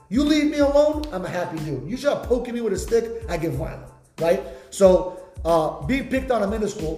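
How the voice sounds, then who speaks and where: A man speaks in a high pitch with very wide pitch swings, an animated tone and a fairly quick pace. The recording has audible room echo and noticeable background noise. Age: 20s. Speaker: podcast host and entrepreneur. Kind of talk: casual chat.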